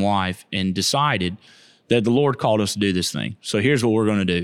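This very clean recording, with a silent background, carries a Southern US accent. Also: man. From Florida, Keysville/Lithia area. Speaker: missionary. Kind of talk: casual interview.

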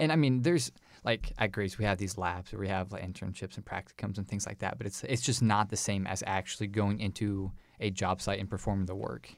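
A man with an unremarkable speaking voice talks at a fairly low pitch and a fairly quick pace, with ordinary pitch variation. The recording is very clean, with a silent background. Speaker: podcast co-host, recent graduate. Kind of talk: podcast interview.

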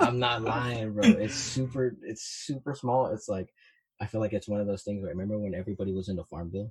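This man talks at a very fast pace with an American accent. His voice is somewhat breathy, and his intonation stays fairly even. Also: fairly low pitch for a man. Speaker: music producer. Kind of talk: casual chat.

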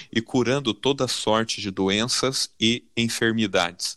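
A man speaks in a bright, sharp tone. The recording is very clean and dry, close with no echo, over a silent background. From Brazil, São Paulo (south zone). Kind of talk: Bible study discussion.

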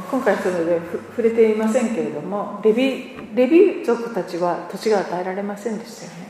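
A woman with a fairly high pitch and ordinary pitch variation speaks at a moderate pace, her loudness swinging widely. Audible room echo and noticeable background noise fill the recording. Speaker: church interpreter. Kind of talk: sermon interpretation.

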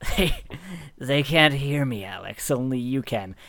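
A man's put-on character voice, strained, medium in pitch, with ordinary pitch variation and a fairly slow pace. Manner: strained, comically strangled dog-like voice.

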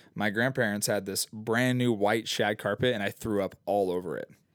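A man with a normal speaking voice, fairly low in pitch, with ordinary pitch variation and a moderate pace, in a dry, close sound with no echo and a very clean recording over a silent background. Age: 20s. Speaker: youth pastor. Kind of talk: casual chat.

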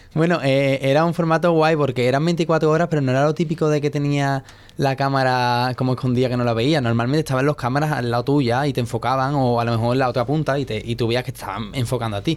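A man talks at a very fast pace with hardly any pauses, his medium-pitched voice carrying fairly even intonation. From Andalusia, Spain (Seville). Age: 20s. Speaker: dancer. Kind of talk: interview. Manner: hesitant.

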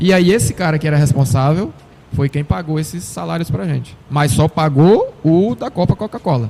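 A man with a somewhat breathy voice and a dark, mellow tone, pitched fairly high for a man. His intonation is lively and his pace moderate. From Brazil, Sergipe interior. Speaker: retired footballer. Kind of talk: casual interview.

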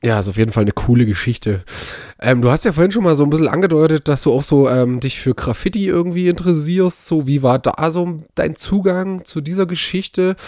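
This man speaks at a fairly quick pace in a fairly high, dark and mellow voice with lively intonation. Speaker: podcast co-host. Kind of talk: casual chat.

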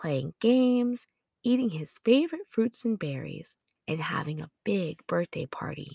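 The voice is dark and mellow with a calm, soothing tone, somewhat breathy and fairly slow, swinging very widely in pitch, and it sounds dry and close with no echo. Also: woman. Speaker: podcast narrator. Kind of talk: bedtime story narration for children. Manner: calm, soothing, gentle storyteller pace.

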